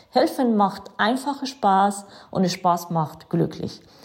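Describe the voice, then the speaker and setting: Somewhat breathy and dark, mellow in tone, a woman with an Iranian accent speaks at medium pitch with lively intonation. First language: Farsi (speaking German). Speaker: city councillor and volunteer. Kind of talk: prepared statement.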